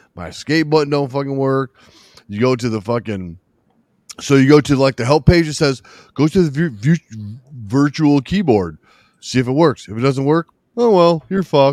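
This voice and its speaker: A man's fairly high voice with lively intonation, moderate pace and long, frequent pauses, in a dry, close sound with no echo. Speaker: firefighter podcast host. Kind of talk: casual banter with swearing. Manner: animated, profane.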